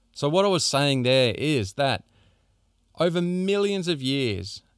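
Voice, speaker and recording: On a very clean recording with a silent background and a dry, close sound with no echo, a man with an Australian accent talks at a fairly slow pace with lively intonation. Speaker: podcast host. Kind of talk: solo monologue on health.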